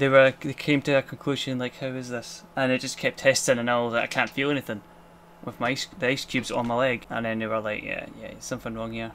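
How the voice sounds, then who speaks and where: A man's medium-pitched voice in a Scottish accent, at a fairly quick pace with ordinary pitch variation. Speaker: vlogger, cancer patient. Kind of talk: casual vlog monologue. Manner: fast.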